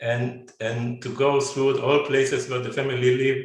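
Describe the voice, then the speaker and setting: Amid audible room echo, a man of medium pitch speaks at a moderate pace with monotone, flat intonation. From Israel. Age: 70s. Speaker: descendant of pogrom survivors, businessman. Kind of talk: personal family testimony in webinar. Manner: halting, many fillers and repetitions.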